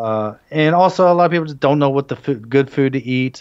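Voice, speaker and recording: The background is quiet. A man with an American accent talks at a very fast pace. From United States. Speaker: Korean food promoter and food blogger; food blogger. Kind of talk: casual interview chat. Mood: animated, laughing. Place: home room. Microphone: video call.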